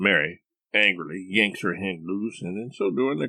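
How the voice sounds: A natural reading voice carries the text, its pitch shifting with ordinary variation. Behind it, the background is quiet.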